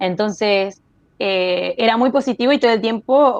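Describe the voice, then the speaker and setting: A woman speaks with a Rioplatense accent. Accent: Argentine Spanish (rioplatense). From Argentine Patagonia (Chubut). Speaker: industrial designer. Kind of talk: interview. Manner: hesitant, many fillers.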